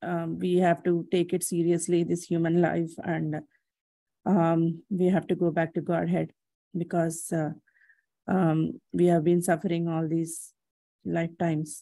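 In a dry recording with no echo and a quiet background, a woman speaks at a fairly slow pace in a fairly low, dark, mellow voice with monotone, flat intonation. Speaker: class participant; speaker. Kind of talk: audience question. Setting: video call. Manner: halting. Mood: respectful, earnest. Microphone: video call.

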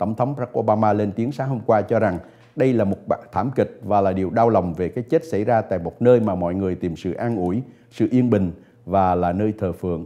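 A dark, mellow tone at a very fast pace. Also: man, fairly low pitch for a man, ordinary pitch variation. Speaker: news anchor. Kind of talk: news reading. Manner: formal.

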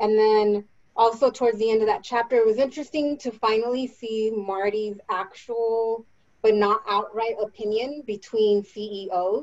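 A woman reads at a fairly slow pace. Her intonation stays fairly even. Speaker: theme park employee. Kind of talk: casual book discussion. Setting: video call. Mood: relaxed, opinionated. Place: home room. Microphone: video call.

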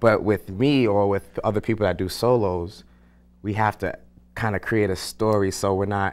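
This man has a fairly low pitch and a clear, smooth, slightly mellow tone, talking at a moderate pace with fairly even intonation. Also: very clean recording, silent background.

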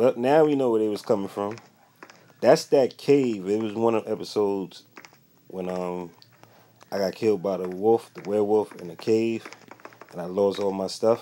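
Noticeable background noise accompanies a man with fairly low pitch, ordinary pitch variation and an upbeat tone. He talks at a moderate pace with long, frequent pauses and big swings in loudness. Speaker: gaming YouTuber. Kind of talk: casual gameplay commentary. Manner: casual, upbeat.

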